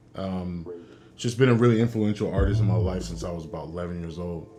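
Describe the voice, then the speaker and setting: A man's speech, with ordinary pitch variation, carries noticeable background noise and audible room echo. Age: 30s. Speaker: co-host of music reaction channel. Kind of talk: casual chat.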